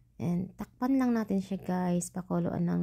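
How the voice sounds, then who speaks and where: Somewhat breathy and dark, mellow in tone, a woman's medium-pitched voice moves with lively intonation. The recording is very clean with a silent background. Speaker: cooking vlogger. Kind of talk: cooking voice-over tutorial. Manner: chatty, casual; stumbling over words.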